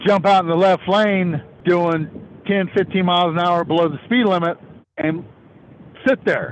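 The voice shows ordinary pitch variation. Noticeable background noise can be heard. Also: man. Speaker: truck driver.

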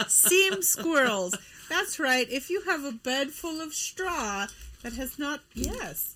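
Speaking very slowly, a woman projects a raised, high-pitched voice that swings very widely in pitch over noticeable background noise. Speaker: podcast co-host. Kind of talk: casual chat. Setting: studio.

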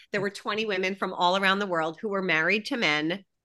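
In a quiet background, a woman speaks in a bright, sharp tone with ordinary pitch variation. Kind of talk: casual interview chat.

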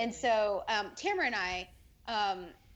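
This plain, everyday voice carries lively intonation. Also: woman. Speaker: former theme park cast member. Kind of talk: casual chat.

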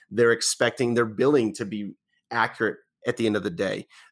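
A man with a General American accent talks at a fairly quick pace, using an ordinary speaking voice with medium pitch. The recording is very clean, with a silent background. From western Colorado. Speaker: tech company vice president. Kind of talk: interview.

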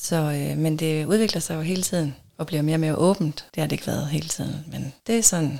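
At a fairly quick pace with hardly any pauses, a woman speaks in a very deep, low voice with ordinary pitch variation. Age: 40s. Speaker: podcast guest in an open relationship. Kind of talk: casual interview.

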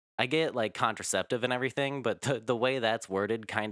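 In a very clean recording with a silent background and a dry, close sound with no echo, a man with an unremarkable speaking voice talks at a moderate pace with ordinary pitch variation. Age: 20s. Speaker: podcast guest. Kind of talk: casual chat.

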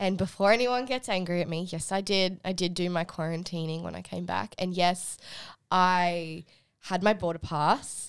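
Here is a woman with an Australian accent and a fairly low pitch. She talks at a moderate pace in a very clean recording with a silent background. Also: fairly even intonation. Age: 20s. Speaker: recent university graduate. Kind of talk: casual chat.

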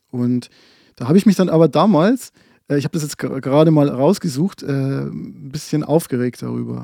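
A man's fairly high voice with a dark, mellow tone, recorded with a dry, close sound with no echo against a very clean, silent background. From Bavarian Forest, Lower Bavaria. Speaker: podcast co-host. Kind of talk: casual chat. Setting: small storage room, built-in bookcase.

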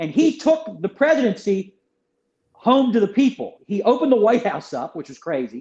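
Intonation here is lively. The pace is fairly quick. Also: man. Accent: American. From US, Philadelphia. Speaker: author. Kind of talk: interview.

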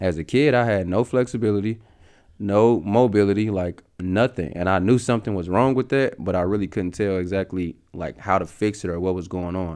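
Over a quiet background, a man with an American accent and an unremarkable speaking voice talks fairly quickly at a fairly low pitch with ordinary pitch variation. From US Midwest, St. Louis area. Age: 30s. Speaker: professional basketball player. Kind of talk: casual interview.

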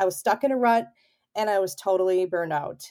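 A woman with an American accent speaks in a dark, mellow tone on a very clean recording with a silent background. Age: 40s. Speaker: photographer. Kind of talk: casual chat.

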